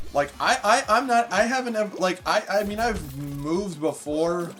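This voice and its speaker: Loud and with very wide pitch swings, a man speaks on a very clean recording with a silent background. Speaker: gaming streamer. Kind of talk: casual gaming stream chat. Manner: rambling with many fillers.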